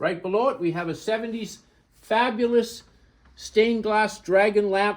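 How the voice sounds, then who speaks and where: A man talks at a high pitch with fairly even intonation. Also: moderate pace. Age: 70s. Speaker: antique dealer. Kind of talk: walkthrough tour of auction items. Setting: in a store, filmed by an assistant. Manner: casual, conversational with fillers.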